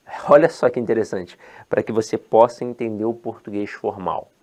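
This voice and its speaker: With a strong Rio de Janeiro accent, a man speaks at a medium pitch against a quiet background. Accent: strong Rio de Janeiro (carioca). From Rio de Janeiro, Brazil (born in Ceará, moved at ten months). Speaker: teacher. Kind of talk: lecture. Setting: online course video. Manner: animated, informal.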